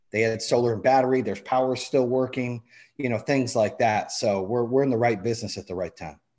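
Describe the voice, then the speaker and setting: Against a quiet background, a man of medium pitch talks at a fairly quick pace. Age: 40s. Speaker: entrepreneur, business owner. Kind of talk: casual interview. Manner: animated.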